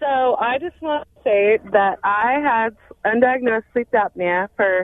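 A woman has an ordinary speaking voice, fairly high in pitch, with ordinary pitch variation. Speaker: caller. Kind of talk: personal testimony. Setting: phone call.

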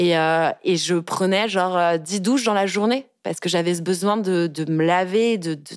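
A normal speaking voice from a woman, medium pitch, ordinary pitch variation, moderate pace, on a very clean recording with a silent background. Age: 20s. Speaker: communications officer sharing personal story of harassment. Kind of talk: testimony. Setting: studio.

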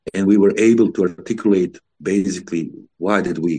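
Here a man speaks with a Bosnian accent at a very deep, low pitch, his tone dark and mellow. His intonation stays fairly even. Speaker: former contest singer. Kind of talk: interview.

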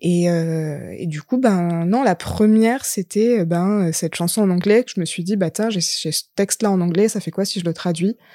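Dry and close with no echo, a woman's fairly low voice has a dark, mellow tone, ordinary pitch variation and a fairly slow pace on a very clean recording with a silent background. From southern France, Lozère. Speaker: singer-songwriter and actress. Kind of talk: casual chat.

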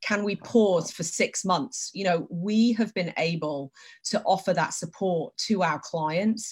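A woman speaks with a somewhat breathy voice and ordinary pitch variation. The recording is very clean, the background silent. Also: medium pitch for a woman, fairly slow pace. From Britain. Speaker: company president in TV advertising measurement. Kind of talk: casual interview on a live stream.

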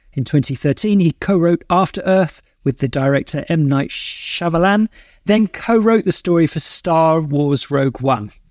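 A man with a normal speaking voice, fairly high in pitch, with lively intonation, very even loudness and a moderate pace, on a very clean recording with a silent background. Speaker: podcast host. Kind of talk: interview.

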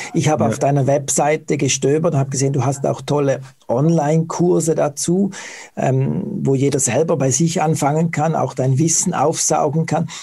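Over noticeable background noise, the speaker holds a very even loudness, a moderate pace, and fairly even intonation. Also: man, fairly high pitch for a man. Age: 40s. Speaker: interviewer, website operator. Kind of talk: interview.

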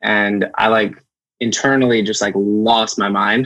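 Fairly even in intonation, this is an ordinary speaking voice in an American accent. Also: man. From US Northeast, Amherst, Massachusetts. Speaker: artist manager. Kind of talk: casual interview chat.

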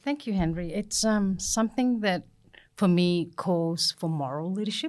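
A woman's plain, everyday voice, fairly low in pitch, with lively intonation at a moderate pace, on a very clean recording with a silent background. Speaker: co-host. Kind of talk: casual panel discussion.

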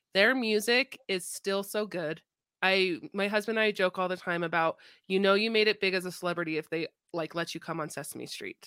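A woman with an ordinary speaking voice and medium pitch talks at a fairly quick pace in a dry, close sound with no echo. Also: ordinary pitch variation, very clean recording, silent background. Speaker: podcast host. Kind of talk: casual chat.

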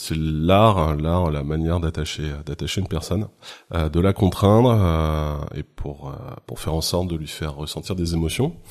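A man's very deep, low voice at a fairly slow pace with ordinary pitch variation, on a very clean recording with a silent background. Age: 40s. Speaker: photographer and rope bondage teacher. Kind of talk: interview. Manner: halting.

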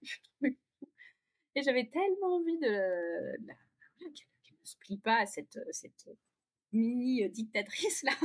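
A woman's high-pitched, very slow speech with long, frequent pauses, very wide pitch swings, big swings in loudness, and dry, close sound with no echo. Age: 40s. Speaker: parent of three. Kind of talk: testimony. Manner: hesitant.

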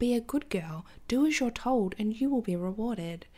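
A woman with an Australian accent talks fairly slowly with lively intonation. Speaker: podcast host, astrologer and tarot reader. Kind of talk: casual monologue. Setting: home recording with cat nearby. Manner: animated.

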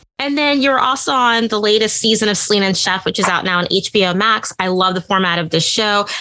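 With an American accent, a woman talks at a fairly quick pace and medium pitch, her loudness very even, her pitch varying in an ordinary way and her speech hardly pausing, over noticeable background noise. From US Midwest, Indiana. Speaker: podcast host. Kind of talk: casual interview.

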